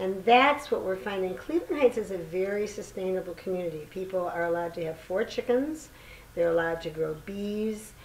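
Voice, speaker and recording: A woman speaks at a medium pitch and a fairly quick pace, in an unremarkable speaking voice. Her intonation is lively. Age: 60s. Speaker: community gardener and author. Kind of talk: casual chat.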